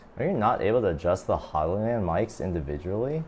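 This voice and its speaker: Fairly low-pitched man at a moderate pace, with very wide pitch swings and noticeable background noise. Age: 20s. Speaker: streamer. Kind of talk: casual chat. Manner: loud.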